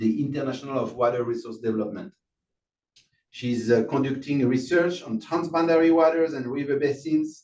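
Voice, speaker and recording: With a French accent, a man speaks at a fairly high pitch in a dark, mellow tone and fairly even intonation. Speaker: session moderator. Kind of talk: speaker introduction. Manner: halting.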